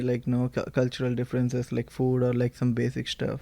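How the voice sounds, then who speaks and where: Speaking fairly quickly in a Telugu accent, a man has a medium pitch and a dark, mellow tone. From India. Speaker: university student. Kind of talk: casual chat.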